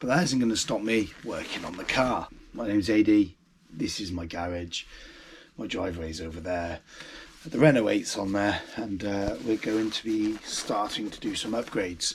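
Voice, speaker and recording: Speaking at a moderate pace with ordinary pitch variation, the voice swings widely in loudness over noticeable background noise. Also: man, fairly low pitch for a man. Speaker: car restoration vlogger. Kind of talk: casual vlog. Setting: home garage. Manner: hesitant, many ums.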